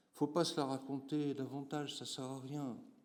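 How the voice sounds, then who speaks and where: Recorded with audible room echo, a man speaks at a moderate pace in a medium pitch. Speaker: geographer professor. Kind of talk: conference talk. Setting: conference room with audience. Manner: hesitant, many fillers.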